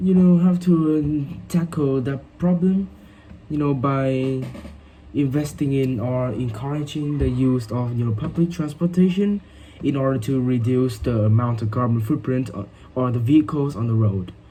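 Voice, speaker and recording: Speaking with a Vietnamese accent, a man has a medium pitch and a dark, mellow tone that is somewhat breathy. He keeps a moderate pace with ordinary pitch variation. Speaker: English learner. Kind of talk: speaking exam practice. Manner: halting, many fillers.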